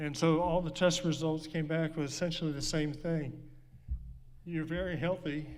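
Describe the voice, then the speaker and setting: In a room with audible echo, a man with a fairly high voice talks at a moderate pace in a monotone, flat delivery. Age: 60s. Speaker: speaker living with Parkinson's. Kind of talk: personal talk to an audience. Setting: stage with audience. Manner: halting.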